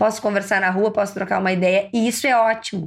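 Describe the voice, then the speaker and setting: A plain, everyday voice at a fairly quick pace, in a very clean recording with a silent background. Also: woman. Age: 30s. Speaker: podcast host and ENT doctor. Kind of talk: casual monologue.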